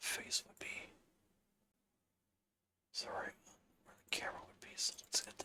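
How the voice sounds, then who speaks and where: A woman whispers in a relaxed tone. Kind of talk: ASMR tutorial, relaxed instructional talk while working in a game engine. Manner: soft, relaxed, slow.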